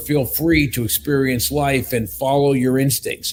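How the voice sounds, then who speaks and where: The man's voice is somewhat breathy. He speaks at a fairly slow pace. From US, southwestern Pennsylvania. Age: 60s. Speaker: company executive. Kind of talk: casual chat.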